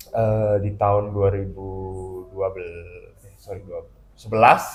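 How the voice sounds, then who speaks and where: With music in the background, a man with a slight Balinese accent speaks at a moderate pace and a fairly low pitch, his intonation monotone and flat, with big swings in loudness. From Bali, Indonesia. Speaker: comic artist and illustrator. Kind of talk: casual chat. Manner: halting, many fillers.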